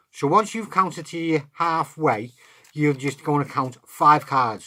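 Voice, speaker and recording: The speaker has an English accent. The recording is very clean, with a silent background. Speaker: card magic tutor. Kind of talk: tutorial.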